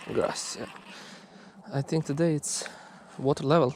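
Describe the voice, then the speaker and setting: At a fairly slow speed, the speech comes through noticeable background noise. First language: Croatian. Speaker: fishing vlogger. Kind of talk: casual outdoor commentary. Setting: outdoors by a river.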